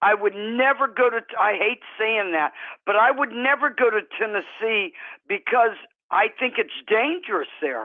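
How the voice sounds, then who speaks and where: Here is a woman with a normal speaking voice, pitched fairly high. She talks at a fairly slow pace with lively intonation. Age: 60s. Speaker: true crime panelist. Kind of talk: casual chat. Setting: live stream panel.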